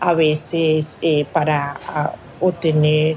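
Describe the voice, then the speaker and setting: Over noticeable background noise, a woman with a very deep, low pitch speaks in a flat monotone. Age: 50s. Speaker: fish vendor and processor. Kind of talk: interview testimony. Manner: hesitant, with fillers.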